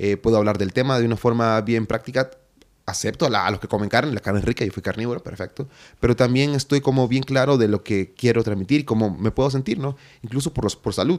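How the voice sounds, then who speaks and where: Ordinary pitch variation accompanies a man speaking at a very fast pace. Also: medium pitch for a man. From Honduras, inland. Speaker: musician and filmmaker. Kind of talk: interview.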